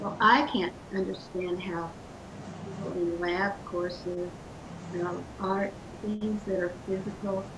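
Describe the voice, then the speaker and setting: Over noticeable background noise and audible room echo, a woman at a medium pitch talks at a fairly slow pace with long, frequent pauses and fairly even intonation. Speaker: property owner joining by video call. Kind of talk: casual chat. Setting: video call. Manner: quiet. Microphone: too quiet.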